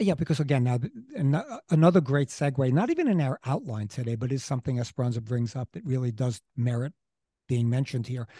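Talking at a very fast pace, a man with an American accent has a medium-pitched, dark, mellow tone that is somewhat breathy, with ordinary pitch variation and a dry, close sound with no echo over a quiet background. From Queens, New York City. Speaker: local history podcast co-host. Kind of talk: casual conversational history podcast. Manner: halting, many false starts and fillers.

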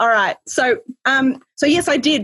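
The speaker is a woman with a somewhat breathy voice. She uses lively intonation. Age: 40s. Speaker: business consultant and author. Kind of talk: casual interview. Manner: animated.

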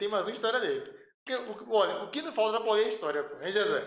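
A man's high voice at a very fast pace, with lively intonation and audible room echo. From Pernambuco, Brazil (Recife area). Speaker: electrical engineer, transmission lines. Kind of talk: casual chat.

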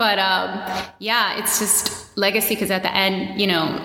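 There is audible room echo and noticeable background noise. A woman speaks with an American accent. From US, Washington D.C. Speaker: run coach and fitness entrepreneur. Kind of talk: casual interview chat.

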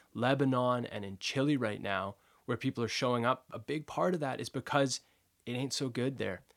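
An unremarkable speaking voice, a man with a Canadian accent talks fairly quickly with fairly even intonation on a very clean recording with a silent background. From Vancouver, Canada. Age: 20s. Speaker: folk musician and activist. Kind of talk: casual interview conversation.

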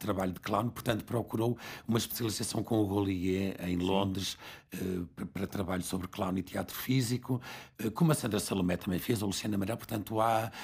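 A man speaks at a fairly quick pace in a fairly low, somewhat breathy voice with ordinary pitch variation, on a very clean recording with a silent background. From northern Portugal (Barcelos). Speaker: theatre school co-founder. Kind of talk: interview conversation.

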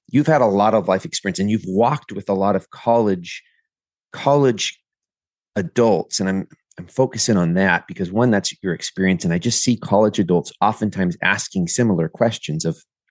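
With an unremarkable speaking voice, a man at fairly low pitch talks at a fairly quick pace with ordinary pitch variation, dry and close with no echo. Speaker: podcast host. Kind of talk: casual interview.

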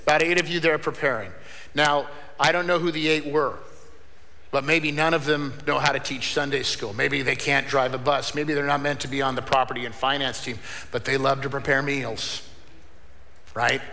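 Amid noticeable background noise, a man speaks at a moderate pace in a fairly high pitch, his intonation fairly even. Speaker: pastor. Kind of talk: sermon. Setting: church. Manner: loud.

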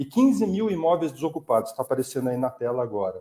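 A man's dark, mellow voice sits at a medium pitch, moving at a moderate pace with ordinary pitch variation. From Brazil, São José dos Campos (São Paulo state). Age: 50s. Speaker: politician, environmental activist. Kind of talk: online panel debate.

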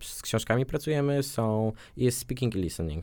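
A man's plain, everyday voice, medium in pitch, at a moderate pace. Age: 20s. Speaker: language school ambassador, psychology student. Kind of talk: radio interview.

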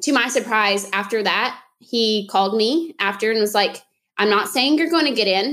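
This woman has a normal speaking voice with an American accent. Her pitch is fairly high, and her pace is fairly quick. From Oklahoma (Tahlequah). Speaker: dietitian, podcast co-host. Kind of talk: casual chat. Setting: recording in a closet.

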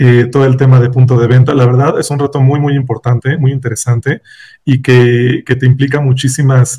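A man with a medium-pitched, dark, mellow voice speaks fairly quickly and somewhat breathily, his intonation monotone and flat. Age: 40s. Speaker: finance executive. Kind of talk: interview.

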